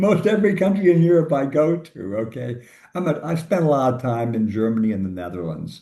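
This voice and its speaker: A man with an American accent, fairly high-pitched and fairly quick, his pitch swinging very widely amid audible room echo. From US Midwest, suburban Chicago. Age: 80s+. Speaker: labor economist, professor. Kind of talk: interview conversation.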